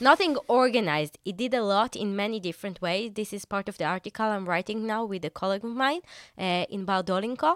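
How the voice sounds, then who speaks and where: A woman speaks at a very fast pace. Her pitch is medium, with ordinary pitch variation. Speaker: security technology researcher. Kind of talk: interview.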